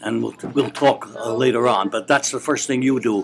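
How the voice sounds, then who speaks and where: Over music in the background, a man talks at a moderate pace in a medium pitch with ordinary pitch variation. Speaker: retired professor and author. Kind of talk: interview answer. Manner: gentlemanly, candid.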